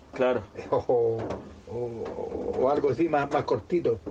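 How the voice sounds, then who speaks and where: A man's fairly high voice carries ordinary pitch variation amid noticeable background noise. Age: 50s. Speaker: circus clown. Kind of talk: interview. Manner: halting, repeats words.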